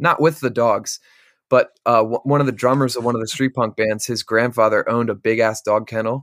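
With a central Pennsylvania accent, a man speaks at a fairly quick pace and medium pitch, his intonation fairly even, in a dry, close sound with no echo. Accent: central Pennsylvania American. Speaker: metal band vocalist. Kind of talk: casual chat.

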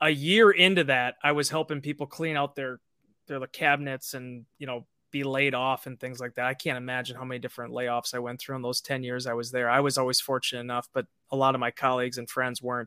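A man with an American accent, bright and sharp in tone, talking at a very fast pace with fairly even intonation, dry and close with no echo, on a very clean recording against a silent background. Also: medium pitch for a man. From Green Bay, Wisconsin. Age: 30s. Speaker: team website writer, former sports journalist. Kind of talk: casual interview.

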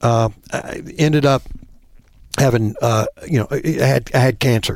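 A man's medium-pitched voice with a Southern US accent, fairly even intonation and a moderate pace. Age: 50s. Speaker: bowhunter. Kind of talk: casual chat.

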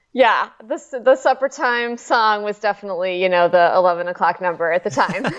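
Lively in intonation, a woman speaks at a fairly quick pace with a medium pitch in a plain, everyday voice. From US Midwest, Chicago. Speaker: nonprofit executive director. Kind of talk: casual chat.

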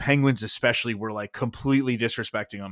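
Recorded dry and close with no echo on a very clean track with a silent background, a man talks at medium pitch with ordinary pitch variation. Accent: American. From US Northeast, southern Connecticut. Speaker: sports blogger. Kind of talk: casual chat. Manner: halting.

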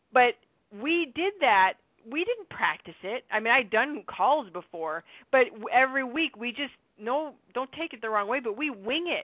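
Very wide pitch swings mark speech delivered at a moderate pace. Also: woman, high pitch for a woman. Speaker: network marketing team leader hosting a weekly call. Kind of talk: conference call presentation. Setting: phone conference call.

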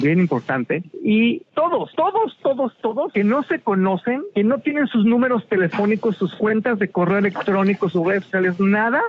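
The speaker uses lively intonation at a moderate pace, with noticeable background noise. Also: man. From Mexico. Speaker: television critic. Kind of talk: interview. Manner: animated.

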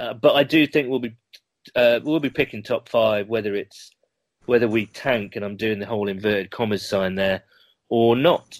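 At a moderate pace, a man speaks at a medium pitch with ordinary pitch variation, the sound dry and close with no echo. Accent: British. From UK. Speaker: podcast host guest, football fan. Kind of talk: casual interview chat.

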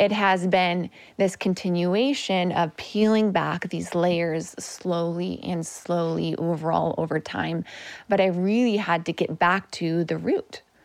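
A woman's unremarkable speaking voice, fairly low in pitch and fairly even in intonation, at a fairly slow pace in a very clean recording with a silent background. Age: 30s. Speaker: functional medicine nutritionist. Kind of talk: interview conversation.

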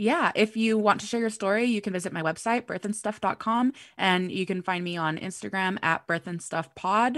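Against a quiet background, a woman at a medium pitch talks at a moderate pace with ordinary pitch variation and hardly any pauses. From US West Coast (Los Angeles). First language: Spanish. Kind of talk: casual chat.

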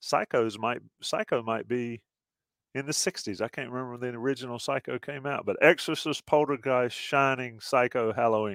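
In an American accent, a man speaks at medium pitch and a moderate pace with ordinary pitch variation, an ordinary speaking voice, and a dry, close sound with no echo on a very clean recording with a silent background. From US South. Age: 50s. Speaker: podcast host. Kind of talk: casual chat.

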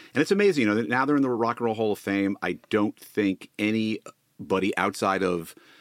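This man has an ordinary speaking voice, fairly low in pitch with ordinary pitch variation. He talks at a moderate pace in a very clean recording with a silent background. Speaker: podcast co-host, former TV executive. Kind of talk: casual interview chat.

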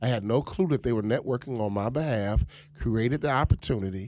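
Lively intonation carries a man's speech at a very fast pace. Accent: American. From Chicago South Side. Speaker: motivational speaker and former pro basketball player. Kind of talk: radio interview. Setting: studio.

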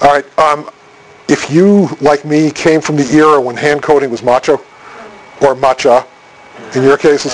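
Noticeable background noise runs beneath a man whose intonation stays fairly even. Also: fairly high pitch for a man, moderate pace. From Boston area. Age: middle-aged. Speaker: technical communication consultant and speaker. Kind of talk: conference presentation.

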